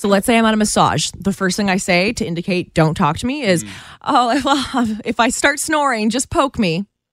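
The speaker reads aloud in a natural voice, the intonation rising and falling in a lively way.

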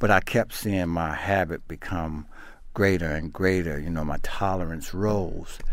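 Delivery is fairly slow. The intonation holds fairly even. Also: man, very deep, low pitch for a man. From South Carolina, raised in Baltimore. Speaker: peer recovery coach. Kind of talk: interview, personal recovery story. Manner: casual, halting with repetitions.

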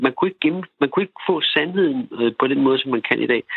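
A man speaking at a fairly quick pace. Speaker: commune resident. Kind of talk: radio debate. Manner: halting, repeats words.

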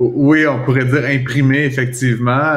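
With a Quebec accent, a man talks at a fairly slow pace in a monotone, flat intonation, and room echo is audible. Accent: Québécois French. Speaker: economics commentator. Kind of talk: casual chat.

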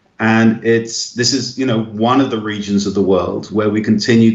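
With an English accent, a man speaks in a fairly low pitch. His intonation is monotone and flat. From England. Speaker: missionary and evangelist. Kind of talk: radio interview. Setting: phone call.

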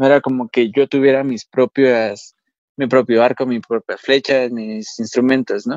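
A man with a normal speaking voice talks at a moderate pace in a dry, close sound with no echo. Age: 20s. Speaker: paralympic archer. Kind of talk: interview.

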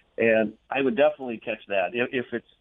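A man talks at a fast pace with a medium pitch and ordinary pitch variation. The sound is dry and close, with no echo.

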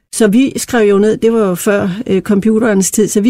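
With a dark, mellow tone and fairly high pitch, a woman speaks at a moderate pace with fairly even intonation. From Denmark, Randers (East Jutland). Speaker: company chair, founder's daughter. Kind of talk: interview.

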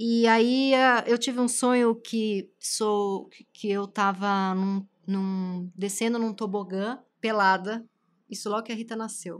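A woman's fairly high voice at a very slow pace, fairly even in intonation, on a very clean recording with a silent background. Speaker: podcast host and writer. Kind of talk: casual chat.

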